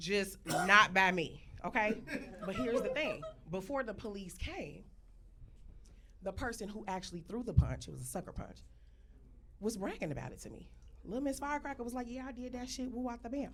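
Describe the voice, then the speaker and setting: Taking long, frequent pauses at a fairly quick pace, a woman speaks at a fairly high pitch with lively intonation and big swings in loudness. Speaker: storyteller. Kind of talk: comedic storytelling to live audience.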